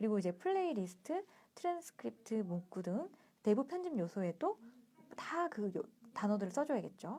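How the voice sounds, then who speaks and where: A woman speaks in a fairly high, dark, mellow voice with very wide pitch swings. Long, frequent pauses break up her speech. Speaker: book reading livestream host. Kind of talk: reading aloud with commentary. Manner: fast.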